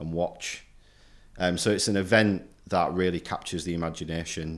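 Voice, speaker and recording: The recording is very clean, with a silent background. A man speaks at a moderate pace in a very deep, low pitch with monotone, flat intonation. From Hull, East Yorkshire, England. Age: 30s. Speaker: historian, university lecturer. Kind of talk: casual interview chat. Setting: recording room at a university centre.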